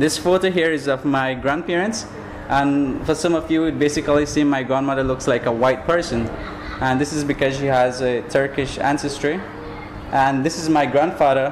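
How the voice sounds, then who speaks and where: A man's fairly high voice in a Belizean accent, fairly even in intonation, at a moderate pace over noticeable background noise. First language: Belizean Creole. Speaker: graduate student. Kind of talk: academic presentation.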